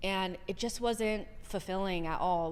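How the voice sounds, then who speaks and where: A woman with an American accent, medium pitch and monotone, flat intonation, amid audible room echo. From Southern California. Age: 30s. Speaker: soccer content creator. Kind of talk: podcast interview.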